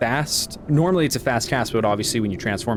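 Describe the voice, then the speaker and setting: Lively intonation and a very fast pace, with noticeable background noise behind. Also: man. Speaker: video game streamer. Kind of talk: casual gaming stream talk. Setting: live stream.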